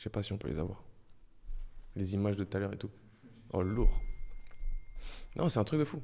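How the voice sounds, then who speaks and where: A man's voice has a dark, mellow tone. The intonation stays fairly even. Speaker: streamer. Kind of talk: casual live stream chat. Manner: soft-spoken.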